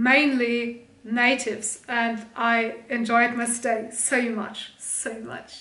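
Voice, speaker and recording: The speaker has a German accent and a bright, sharp tone. Audible room echo surrounds the voice. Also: woman. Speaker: streamer and video creator. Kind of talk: casual haul video chat.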